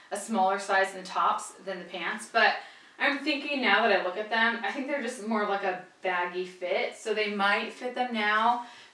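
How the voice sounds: With audible room echo around her, a woman talks at a moderate pace in a medium pitch, her tone bright and sharp and her pitch varying in an ordinary way.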